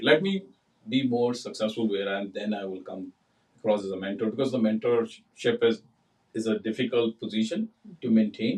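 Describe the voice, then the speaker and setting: In a Punjabi Indian accent, a man talks at a fairly quick pace. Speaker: realtor and builder. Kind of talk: casual chat. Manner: animated.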